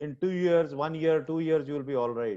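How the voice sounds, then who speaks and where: His tone is dark and mellow. The man's fairly high pitch shows ordinary pitch variation. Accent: strong non-native. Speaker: surgeon and professor. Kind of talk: webinar discussion.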